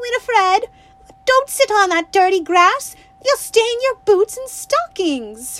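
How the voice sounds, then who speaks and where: In a put-on character voice, a woman speaks at a fairly slow pace with an extremely high, squeaky pitch, lively intonation, and a raised, projected delivery, the sound dry and close with no echo. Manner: scolding.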